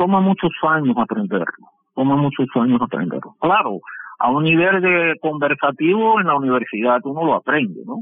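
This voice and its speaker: A man talks at a moderate pace in a fairly high pitch. His voice makes very wide pitch swings. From Cuba. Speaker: shipbuilding engineer. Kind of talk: interview. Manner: halting.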